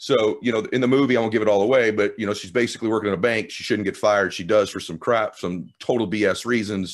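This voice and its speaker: A man with a fairly low pitch talks at a very fast pace in an energetic tone, with hardly any pauses. The background is quiet. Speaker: podcast host. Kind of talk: interview. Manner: clearly articulated.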